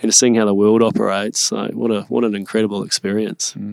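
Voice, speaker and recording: Very fast and flat in a monotone, a man with a New Zealand accent speaks in a dry, close sound with no echo on a very clean recording with a silent background. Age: 30s. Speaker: startup entrepreneur. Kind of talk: interview conversation.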